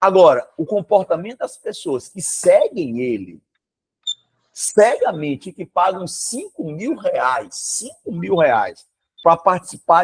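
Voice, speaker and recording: A man talks fairly slowly, and the sound is dry and close without any echo. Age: 60s. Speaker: history teacher. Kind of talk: classroom lecture with informal digression. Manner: animated.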